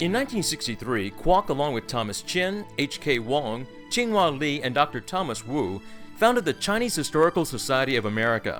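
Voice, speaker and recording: With music in the background, a man talks at a fairly quick pace and a fairly high pitch, making very wide pitch swings. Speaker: narrator. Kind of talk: documentary narration.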